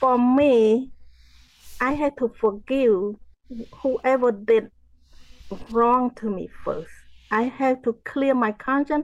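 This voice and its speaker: A woman with a Cambodian accent speaks at a very slow pace in a high pitch, with ordinary pitch variation and long, frequent pauses. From Cambodia, rural farm area. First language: Khmer. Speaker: genocide survivor, author and motivational speaker. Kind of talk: interview testimony. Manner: halting, repeats words.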